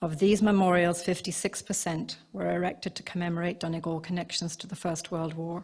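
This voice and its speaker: The voice moves at a fairly quick pace in a monotone, flat delivery, recorded very cleanly against a silent background. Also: woman. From Ireland, County Cavan border area. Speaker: museum curator. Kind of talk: conference talk. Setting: seminar at a museum, live broadcast.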